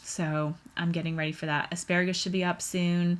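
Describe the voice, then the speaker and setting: A woman's fairly low voice at a fairly slow pace. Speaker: podcast host. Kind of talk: casual monologue. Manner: casual, hesitant with fillers.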